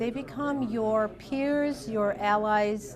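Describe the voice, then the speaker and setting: Amid noticeable background noise, a woman's fairly high voice swings very widely in pitch. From US Midwest, northwest Ohio. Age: 50s. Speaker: diabetes education nurse. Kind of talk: interview testimony.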